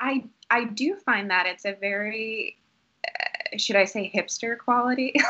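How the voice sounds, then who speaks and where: In an American accent, a woman speaks fairly slowly at a fairly high pitch with very wide pitch swings. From Boston area, Massachusetts. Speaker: actor. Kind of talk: casual chat.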